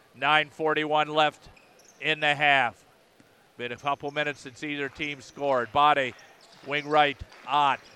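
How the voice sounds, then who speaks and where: A man's fairly high, bright, sharp voice at a fairly slow pace with long, frequent pauses. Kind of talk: live sports commentary. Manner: bursts of names and scores, jokey asides between plays.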